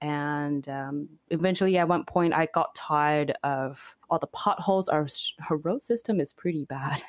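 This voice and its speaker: At a moderate pace and with hardly any pauses, a woman speaks in a very deep, low voice with ordinary pitch variation. The sound is dry and close with no echo, on a very clean recording with a silent background. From Beijing, China; moved to Canada at 16. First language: Mandarin. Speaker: overlander and video creator. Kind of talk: interview conversation.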